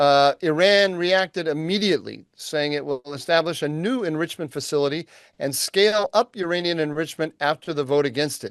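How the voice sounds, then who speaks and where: In a normal speaking voice, a man with an American accent and a fairly high pitch talks with hardly any pauses and ordinary pitch variation, in a dry, close sound with no echo against a quiet background. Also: moderate pace. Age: 60s. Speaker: podcast co-host, think tank analyst. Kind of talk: news rundown; casual podcast conversation.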